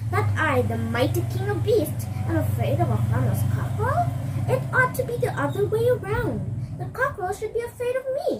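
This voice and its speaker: Someone does a put-on character voice at a moderate pace over loud background noise. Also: woman, very deep, low pitch for a woman. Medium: read story.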